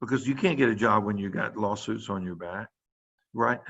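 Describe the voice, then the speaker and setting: Speech with vocal fry and an American accent, delivered at a fairly quick pace over a quiet background. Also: man. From US South. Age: 60s. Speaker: pediatrician. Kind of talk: lecture. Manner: casual, conversational.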